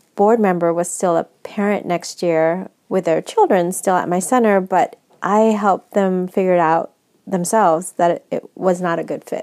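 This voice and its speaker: Speaking in a Californian accent, a woman uses a dark, mellow tone and fairly even intonation at a moderate pace. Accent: General American, California. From US West Coast, San Francisco. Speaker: nonprofit executive director. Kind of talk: interview.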